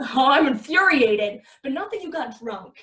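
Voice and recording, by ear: A woman's put-on character voice, high in pitch, bright and sharp in tone, with lively intonation at a fairly slow pace and audible room echo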